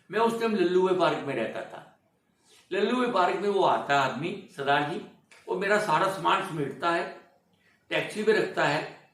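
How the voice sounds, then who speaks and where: There is audible room echo around this man's high-pitched voice. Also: ordinary pitch variation. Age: 80s+. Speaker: veteran film industry actor. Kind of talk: interview, life story. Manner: animated storytelling.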